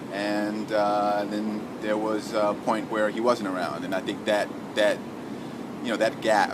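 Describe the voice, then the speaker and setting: Over noticeable background noise, someone speaks at a moderate pace in a New York accent. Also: man. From New York City (Harlem, Bronx). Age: 20s. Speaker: shelter resident and charity runner. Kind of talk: personal testimony interview. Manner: halting, many fillers and repetitions.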